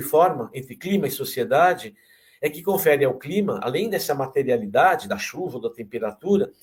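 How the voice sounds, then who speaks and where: A man talks with lively intonation at a fairly high pitch. He has a normal speaking voice. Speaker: geography professor. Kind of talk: lecture. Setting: online talk.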